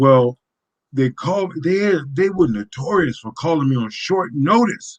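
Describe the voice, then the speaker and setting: Speaking at a fairly slow pace, a man uses lively intonation and a fairly high pitch. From Chicago, US Midwest. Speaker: retired MMA fighter. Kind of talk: casual interview storytelling. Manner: animated.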